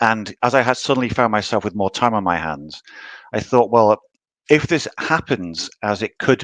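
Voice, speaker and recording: In a British accent, the speaker uses lively intonation at a moderate pace, with a dry, close sound with no echo and a quiet background. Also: man. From UK. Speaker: novelist. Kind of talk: interview.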